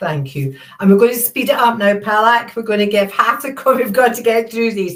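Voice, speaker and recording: A woman talks at a fairly quick pace with lively intonation. Her pitch is fairly high. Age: 60s. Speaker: charity founder and Q&A host. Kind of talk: Q&A session reading viewer questions.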